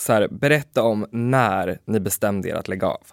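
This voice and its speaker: In a dry, close sound with no echo and a very clean recording with a silent background, a man with a plain, everyday voice talks at a medium pitch with lively intonation. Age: 20s. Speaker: podcast co-host. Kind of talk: casual chat.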